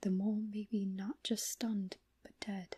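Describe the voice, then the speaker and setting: A soft-spoken man talks at a high pitch and a fairly slow pace. The sound is dry and close, with no echo. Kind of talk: horror story reading.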